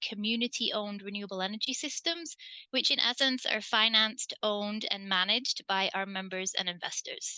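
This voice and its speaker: In a dry, close recording with no echo, a woman with an English accent talks with ordinary pitch variation. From England. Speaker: community energy co-op board member, environmental program coordinator. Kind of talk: online panel presentation.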